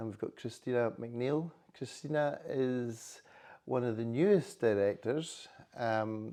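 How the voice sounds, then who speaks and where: Very slowly, a man with a Highland Scottish accent speaks in a dark, mellow tone at medium pitch with ordinary pitch variation. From Scottish Highlands. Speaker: chamber of commerce chief executive. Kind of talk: interview. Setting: hotel.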